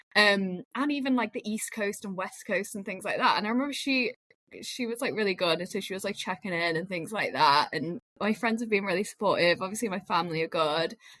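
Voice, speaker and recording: A woman in a Lancashire accent speaks at a fairly quick pace and medium pitch, her bright, sharp tone carrying ordinary pitch variation. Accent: northern English (Lancashire). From northern England, Lancashire. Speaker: media professional. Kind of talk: casual chat.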